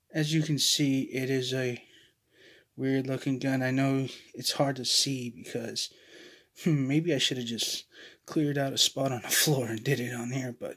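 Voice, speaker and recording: Quiet and monotone, a man speaks with flat intonation and long, frequent pauses. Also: medium pitch for a man, moderate pace, very clean recording, silent background. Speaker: toy reviewer. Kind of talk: product review. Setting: storage room at home.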